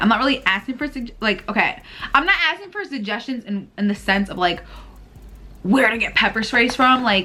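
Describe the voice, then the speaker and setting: A woman talks at a fairly quick pace in an animated tone, with fairly high pitch and ordinary pitch variation. Noticeable background noise sits behind her. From Puerto Rican heritage, US. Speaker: vlogger and small business owner. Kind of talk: casual vlog chat.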